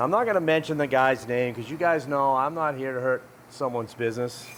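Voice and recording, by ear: A man with a New England accent, medium pitch, ordinary pitch variation and a moderate pace, over noticeable background noise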